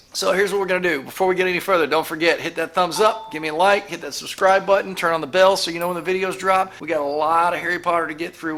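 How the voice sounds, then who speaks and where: A man talks at a high pitch while noticeable background noise carries on. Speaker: movie reaction youtuber. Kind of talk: casual chat. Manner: animated.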